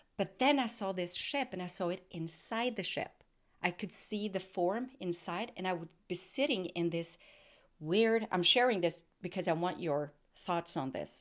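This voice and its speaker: In a very clean recording with a silent background, a woman with a non-native accent talks at a fairly slow pace with ordinary pitch variation. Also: medium pitch for a woman. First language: not English. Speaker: podcast host. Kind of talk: casual interview chat. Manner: halting, searching for words.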